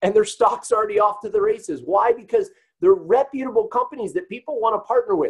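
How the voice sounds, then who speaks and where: An animated male voice at a fairly quick pace. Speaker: network marketing presenter. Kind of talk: sales pitch. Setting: webinar. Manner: fast.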